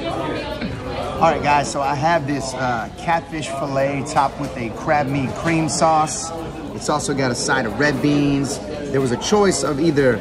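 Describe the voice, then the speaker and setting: A man talks at a fairly slow pace with music in the background. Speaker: food vlogger. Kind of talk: casual food review chat. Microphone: phone near.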